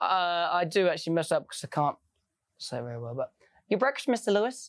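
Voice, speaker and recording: Very fast delivery with very wide swings in pitch, on a very clean recording against a silent background. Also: woman. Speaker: musical theatre performer. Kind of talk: casual chat.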